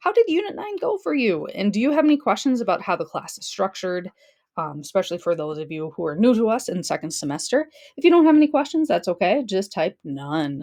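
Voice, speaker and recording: A woman's fairly high voice at a very fast pace, full of very wide pitch swings. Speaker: high school history teacher. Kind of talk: recorded lesson.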